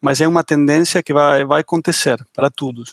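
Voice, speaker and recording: Recorded with a dry, close sound and no echo, a man with an Argentine accent speaks at a moderate pace. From Argentina. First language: Spanish (speaking Portuguese). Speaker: tech startup founder and CEO. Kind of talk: podcast panel discussion.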